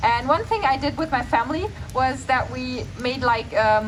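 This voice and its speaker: Noticeable background noise sits behind the speech. A woman talks at a moderate pace. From Germany, small town. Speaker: vegan food creator. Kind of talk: festival Q&A.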